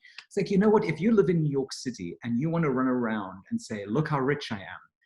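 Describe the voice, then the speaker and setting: A man with a non-native accent talks at a very fast pace, his voice somewhat breathy. His pitch sits fairly high and swings very widely. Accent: foreign accent that sounds posh. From outside the US. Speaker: real estate executive. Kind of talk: interview.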